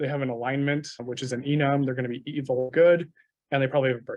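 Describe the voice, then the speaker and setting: Very fast and monotone, a man speaks in a fairly high voice with flat intonation. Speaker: software developer, meetup speaker. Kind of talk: technical talk. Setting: meetup with live audience.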